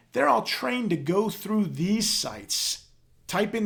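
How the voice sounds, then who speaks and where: Lively intonation colors the speech of a man. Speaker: restaurant sales consultant. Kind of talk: webinar presentation. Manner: fast.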